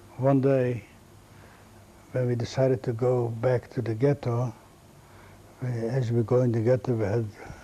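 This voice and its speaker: A man's somewhat breathy, dark and mellow voice at a medium pitch, monotone and flat, at a moderate pace. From Latvia, Riga. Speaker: Holocaust survivor. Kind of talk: testimony. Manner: halting.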